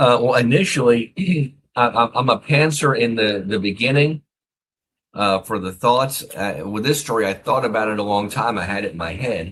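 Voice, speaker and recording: Man with an American accent, medium pitch, lively intonation and a moderate pace. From US, Philadelphia area and Texas. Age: 50s. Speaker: author, retired army officer. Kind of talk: interview. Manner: halting, repeats words.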